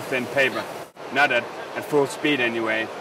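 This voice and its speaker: A man talks at a fairly high pitch with fairly even intonation. The sound is dry with no echo, and there is noticeable background noise. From Denmark. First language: Danish. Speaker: printing company representative. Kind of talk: interview. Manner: halting. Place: hall. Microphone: lapel.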